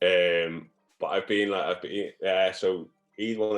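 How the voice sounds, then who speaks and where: Music plays in the background. A man speaks over it in a very deep, low voice. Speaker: football performance analyst. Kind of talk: interview answer. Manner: stammers.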